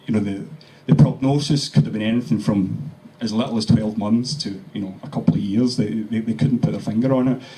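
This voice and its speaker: With a Glaswegian accent, a man speaks at a fairly quick pace in a fairly low pitch with ordinary pitch variation, over noticeable background noise. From Scotland, Glasgow. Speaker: cancer survivor. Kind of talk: testimony. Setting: meeting with audience. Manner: halting.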